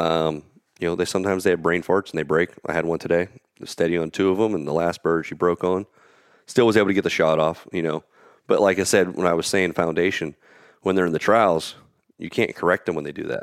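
A man speaks very fast in a very deep, low voice with fairly even intonation, the sound dry and close with no echo. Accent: American. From Pennsylvania. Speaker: field trial competitor and organizer. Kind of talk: casual interview conversation.

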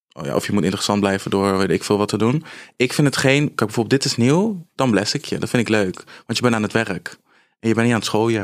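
On a very clean recording with a silent background, a man talks at a very fast pace at a medium pitch, with ordinary pitch variation. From Netherlands, Apeldoorn (Gelderland). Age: 20s. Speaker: influencer undergoing cosmetic surgery. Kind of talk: casual interview.

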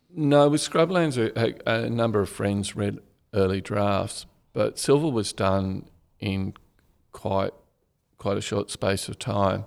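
A man with an Australian accent and fairly low pitch, fairly slow with long, frequent pauses and lively intonation. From Australia, Canberra. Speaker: crime novelist, former journalist. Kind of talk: casual interview.

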